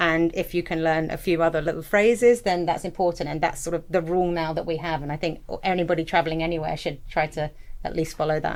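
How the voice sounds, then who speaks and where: The speaker has an English accent and talks very fast. Intonation stays fairly even. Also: woman, fairly low pitch for a woman. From England. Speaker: school director. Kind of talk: podcast interview.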